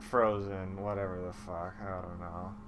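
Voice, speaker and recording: The speaker is a man talking at a moderate pace. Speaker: comedy movie recapper. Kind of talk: casual comedic monologue. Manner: sleepy, rambling.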